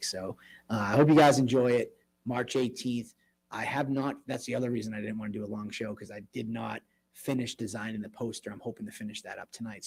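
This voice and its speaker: A man's raspy, put-on character voice at medium pitch, rattled off at a very fast pace. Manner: subdued, not yelling.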